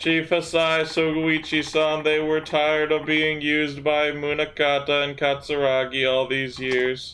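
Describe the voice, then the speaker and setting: Putting on a character voice, a man speaks at a fairly high pitch with monotone, flat intonation, a moderate pace, and hardly any pauses. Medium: game stream.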